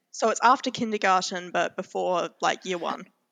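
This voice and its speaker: The voice belongs to a woman. She talks in an Australian accent. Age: 20s. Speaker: podcast co-host. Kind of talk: casual chat.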